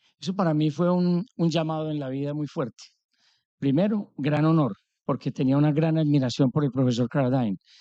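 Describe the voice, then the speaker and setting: With an Antioquian accent, a man speaks in a dark, mellow tone with ordinary pitch variation, the sound dry and close with no echo. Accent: Colombian paisa Spanish. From Colombia, Antioquia (paisa). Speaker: business executive. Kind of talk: conference talk. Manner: animated.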